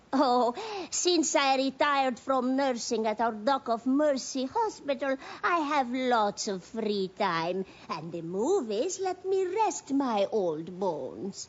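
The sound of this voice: A cartoonish character voice, female-sounding and high-pitched, at a fairly slow pace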